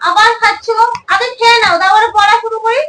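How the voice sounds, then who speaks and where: Squeaky, put-on character voice from a woman, extremely high in pitch, at a moderate pace with fairly even intonation. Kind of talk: family comedy skit. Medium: comedy sketch. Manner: scolding, sarcastic.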